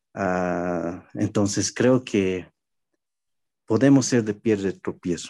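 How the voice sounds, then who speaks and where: Fairly low-pitched male voice with a dark, mellow tone, ordinary pitch variation, and a quiet background. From Bolivia (La Paz). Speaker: pastor. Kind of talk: casual chat.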